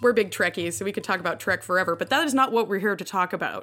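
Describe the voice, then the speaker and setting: A woman with an American accent speaks in a bright, sharp tone, in a very clean recording with a silent background. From US South, New Orleans. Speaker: podcast co-host. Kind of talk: casual chat.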